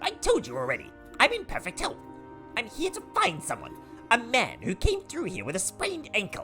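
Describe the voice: A man's put-on character voice at an extremely high pitch and fairly quick pace, with clear music in the background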